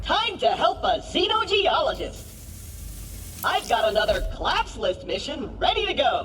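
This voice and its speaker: A put-on character voice comes through at an extremely high pitch and a moderate pace. Background noise is clearly audible. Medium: machinima. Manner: bubbly, enthusiastic.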